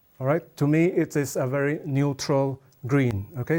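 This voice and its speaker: Recorded very cleanly against a silent background, a man speaks with a Chinese accent at a fairly slow pace. His voice is medium in pitch with a dark, mellow tone and fairly even intonation. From Malaysia. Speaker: watercolour artist. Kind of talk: art demonstration tutorial.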